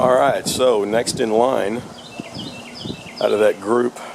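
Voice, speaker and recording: Delivered at a very slow pace, the speech comes with noticeable background noise. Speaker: small engine repairer. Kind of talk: casual repair walkthrough.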